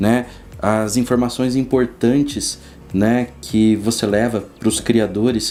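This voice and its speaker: A man speaks at a very slow pace with very even loudness. His intonation stays fairly even. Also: medium pitch for a man. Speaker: biologist at a lab. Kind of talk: casual interview chat. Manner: hesitant, many fillers.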